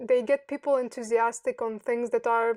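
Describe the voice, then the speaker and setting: Speaking at a moderate pace in a Romanian accent, a woman sounds dry and close with no echo. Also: very clean recording, silent background. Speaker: software developer. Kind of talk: interview. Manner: halting.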